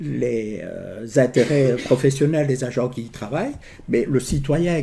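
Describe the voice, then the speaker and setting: A man's dark, mellow voice at medium pitch, somewhat breathy, with fairly even intonation, a fairly slow pace and a slight Liège accent. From Belgium, Liège region. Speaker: trade union official. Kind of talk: public talk. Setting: information day with audience. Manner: hesitant, many fillers.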